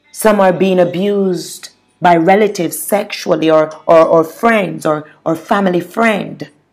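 A woman speaks at a fairly slow pace in a fairly low pitch with fairly even intonation, music playing in the background. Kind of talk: fervent prayer, intercessory petition to God. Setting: solo podcast recording. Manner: earnest, impassioned, pleading; repetitive, halting with stammered repeats.

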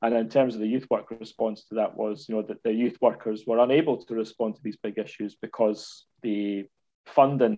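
In a Scottish accent, a man talks at a fairly quick pace. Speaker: university lecturer in community education. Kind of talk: casual interview.

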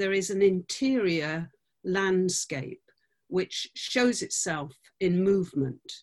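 A woman with a British accent and ordinary pitch variation, over a quiet background. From UK. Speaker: dancer and choreographer. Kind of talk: interview. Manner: halting.

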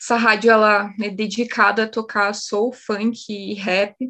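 Here a woman speaks at a fairly high pitch. Her pace is fairly slow. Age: 20s. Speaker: biologist and community radio host. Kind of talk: casual interview chat.

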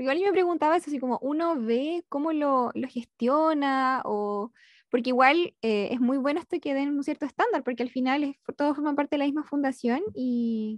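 Her pace stays moderate. The woman's pitch is high. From Chile, Concepción. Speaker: podcast host. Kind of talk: interview.

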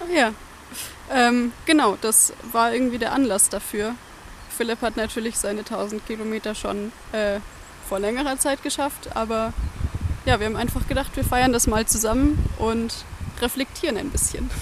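Over noticeable background noise, a woman with a fairly high pitch speaks at a moderate pace with ordinary pitch variation and long, frequent pauses. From Bavaria, near Munich. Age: 20s. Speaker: pilgrim, recent graduate. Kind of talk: casual conversation.

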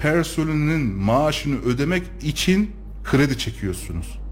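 Very slow speech from a man amid noticeable background noise and audible room echo. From Turkey, Kayseri. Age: 30s. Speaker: local politician and architect. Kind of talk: radio interview. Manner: frequent hesitation fillers.

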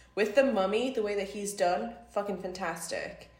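A woman's medium-pitched voice carries over background music. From Newcastle, northern England. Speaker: film studies student. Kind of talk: casual chat.

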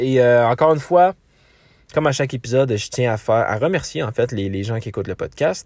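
A man talks at a moderate pace with a Quebec accent. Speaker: podcast host. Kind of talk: true crime storytelling. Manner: hesitant, many filler words.

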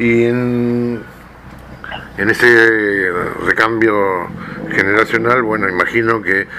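Over noticeable background noise, a man speaks with a fairly low pitch and fairly even intonation. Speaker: radio host. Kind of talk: radio interview.

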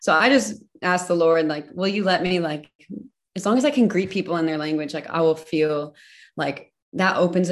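A normal speaking voice talks at a fairly quick pace with ordinary pitch variation against a quiet background. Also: woman. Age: 30s. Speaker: missionary. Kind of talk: casual chat.

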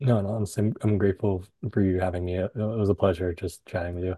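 A man speaks with an American accent and a somewhat breathy voice. His intonation is fairly even. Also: dry, close sound with no echo. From Southern California. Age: 30s. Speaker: entrepreneur. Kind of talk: casual chat. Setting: video call.

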